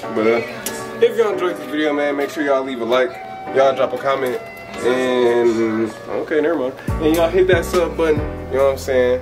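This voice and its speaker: A man talks fairly quickly while music sounds clearly behind him. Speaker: couple vlogger. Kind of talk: casual vlog chat. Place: home room. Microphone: phone near.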